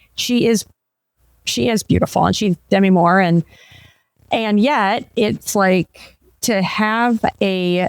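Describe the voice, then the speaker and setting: At a very slow pace, a woman talks at a medium pitch with ordinary pitch variation, in a dry, close sound with no echo. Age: 50s. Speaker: podcast host. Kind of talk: interview conversation. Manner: animated.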